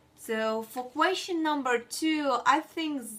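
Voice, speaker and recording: A woman with a non-native accent at a fairly slow pace, with ordinary pitch variation. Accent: noticeable foreign. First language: not English. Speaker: student. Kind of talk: class presentation. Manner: halting, with many fillers.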